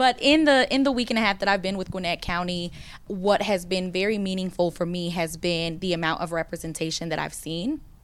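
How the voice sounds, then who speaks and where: This woman has an unremarkable speaking voice, medium in pitch, with an American accent and a fairly quick pace. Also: ordinary pitch variation. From US South. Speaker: county community engagement manager. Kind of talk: panel discussion.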